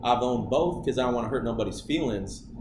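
A man speaks at a medium pitch with an American accent. There is noticeable background noise. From Michigan, US (Okemos). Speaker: podcast guest. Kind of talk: casual chat.

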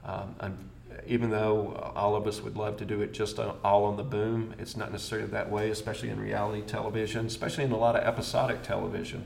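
Noticeable background noise and audible room echo surround a man with an American accent. He talks at a fairly quick pace in a fairly low pitch with monotone, flat intonation. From US South, Birmingham, Alabama. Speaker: location sound mixer. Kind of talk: interview.

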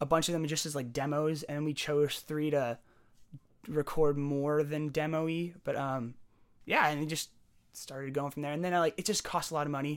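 This man has an unremarkable speaking voice, fairly high in pitch, with an American accent. He talks at a fairly quick pace in a very clean recording with a silent background. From San Jose, California. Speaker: musician. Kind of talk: casual chat.

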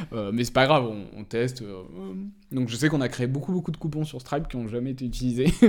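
This man's speech races along very fast. The rise and fall of his pitch is ordinary. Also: medium pitch for a man, very clean recording, silent background. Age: 20s. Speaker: entrepreneur. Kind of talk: interview. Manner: hesitant, many filler words.

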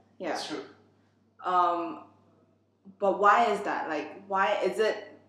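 Amid noticeable background noise and audible room echo, a woman speaks at medium pitch. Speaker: podcast host. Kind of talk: casual interview chat.

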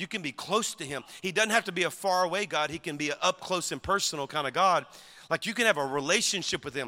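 A man with a Southern US accent, high-pitched, bright and sharp, animated and very fast, with ordinary pitch variation and a dry, close sound with no echo. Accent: Southern US (Cajun-tinged). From Louisiana. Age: 50s. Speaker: pastor. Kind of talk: sermon.

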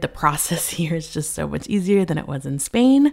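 Using a fairly low pitch, a woman with an American accent talks at a fairly quick pace. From California. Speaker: mindset coach. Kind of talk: casual monologue.

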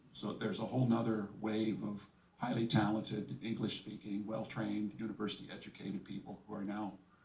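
Against noticeable background noise, a man talks at a fairly quick pace with a fairly low pitch. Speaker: audience member, academic.

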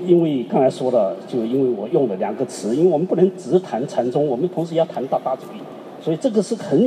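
Noticeable background noise sits behind a man talking at a moderate pace. His fairly high pitch swings very widely. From southeast China. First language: Chinese (speaking French). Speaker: artist. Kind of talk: panel discussion with interpreter.

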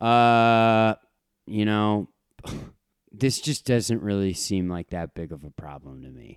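In a very clean recording with a silent background and dry, close sound with no echo, a man speaks at a very slow pace and fairly low pitch, with lively intonation and long, frequent pauses. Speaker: podcast co-host. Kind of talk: casual chat.

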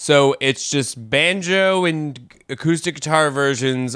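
Ordinary pitch variation in a man's voice, bright and sharp in tone. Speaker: podcast host. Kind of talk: casual chat.

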